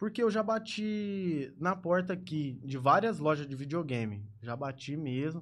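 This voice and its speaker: This is a plain, everyday voice at a fairly slow pace. The intonation is lively. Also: man, fairly high pitch for a man. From Ribeirão Preto, São Paulo state, Brazil. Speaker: gaming streamer. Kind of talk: casual interview. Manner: casual, slangy.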